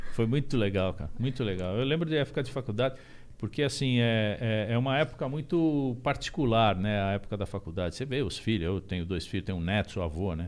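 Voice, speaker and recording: Talking very fast, a man uses lively intonation. His pitch sits in the medium range. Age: 50s. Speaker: musician. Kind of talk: podcast interview. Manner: halting, many fillers and repeats.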